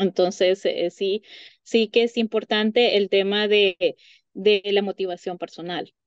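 Against a quiet background, a woman talks at a very slow pace with fairly even intonation in a dry sound with no echo. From Honduras. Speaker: psychologist; guest. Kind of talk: interview. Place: home room. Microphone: video call.

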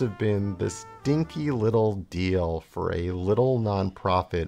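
With faint music in the background, a man speaks at a fairly slow pace in a slightly mellow tone.

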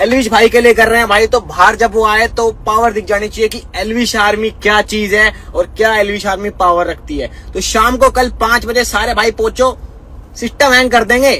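Bright and sharp in tone, a man speaks in a high pitch at a moderate pace with few pauses. His intonation is fairly even, with faint background noise.

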